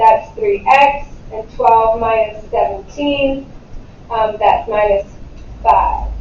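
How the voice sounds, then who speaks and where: A woman's fairly high voice at a very slow pace, with ordinary pitch variation, long, frequent pauses, audible room echo and noticeable background noise. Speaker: math teacher. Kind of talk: classroom lecture. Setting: classroom.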